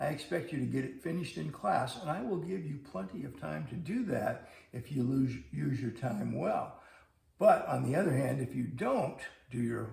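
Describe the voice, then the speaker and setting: Amid audible room echo and noticeable background noise, a man speaks at a moderate pace. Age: 70s. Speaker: math teacher. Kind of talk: scripted video lesson. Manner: conversational.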